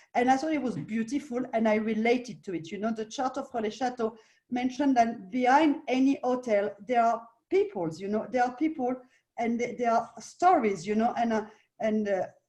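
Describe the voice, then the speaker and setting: A woman with a French accent, a dark, mellow tone and a fairly high pitch, talking at a fairly quick pace with lively intonation. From France. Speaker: hotel owner. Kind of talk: interview. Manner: halting.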